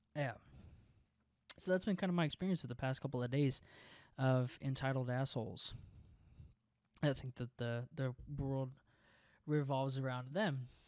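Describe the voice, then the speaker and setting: A man with an American accent speaks at medium pitch and a moderate pace, with ordinary pitch variation. He leaves long, frequent pauses. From US South, rural Texas. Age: 20s. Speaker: podcast host. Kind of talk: casual monologue. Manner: animated.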